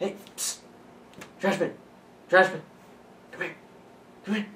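A put-on character voice at a middle pitch and moderate pace, with clear background noise. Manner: whispering, hissed.

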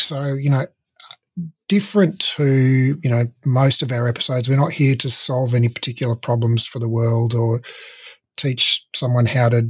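A somewhat breathy man speaks at a moderate pace with fairly even intonation against a quiet background. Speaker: podcast host. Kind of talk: interview question, casual conversation. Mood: relaxed, friendly, laughing. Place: home room. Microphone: studio mic.

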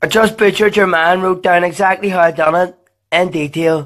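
A Northern Irish accent at a fairly quick pace. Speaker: comedy dubber. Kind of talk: comedy voiceover dub of cartoon clips. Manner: crude, profane, brash.

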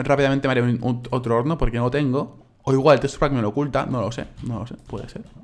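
Talking very fast at a medium pitch, a man keeps fairly even intonation but shows big swings in loudness, with noticeable background noise. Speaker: gaming YouTuber. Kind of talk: casual gaming commentary.

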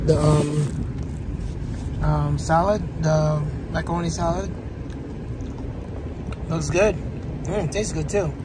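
Amid loud background noise, the speaker talks at a very slow pace with long, frequent pauses, the sound dry with no echo. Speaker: food vlogger. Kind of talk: casual vlog chat. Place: car. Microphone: phone near.

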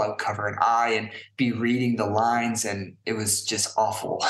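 Audible room echo carries a man's medium-pitched voice, monotone and flat, with an American accent. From US West Coast, San Francisco Bay Area. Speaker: dyslexia advocate and brand founder. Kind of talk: interview.

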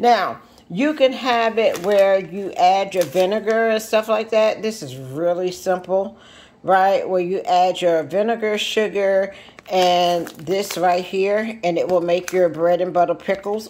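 A woman's fairly slow speech with ordinary pitch variation. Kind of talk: tutorial. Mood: relaxed, friendly. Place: kitchen. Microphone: phone near.

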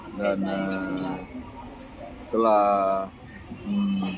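A man in a flat monotone, dry sound with no echo, noticeable background noise behind him. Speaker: food vlogger. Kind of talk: casual vlog chat. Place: market. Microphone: phone near.

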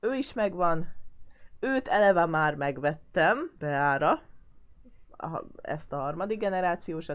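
At a very slow pace with long, frequent pauses, a woman with a fairly low pitch speaks with lively intonation. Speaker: gaming YouTuber. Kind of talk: gameplay commentary. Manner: casual, chatty.

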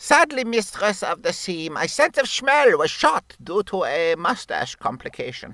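In a put-on character voice, the speaker goes at a moderate pace with hardly any pauses, the fairly high pitch making very wide swings. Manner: pompous, formal.

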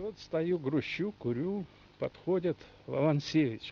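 Light background noise sits under a man's fairly high voice, which shows very wide pitch swings in a dry sound with no echo. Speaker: retired oil geologist. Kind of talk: interview. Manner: halting. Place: garden.

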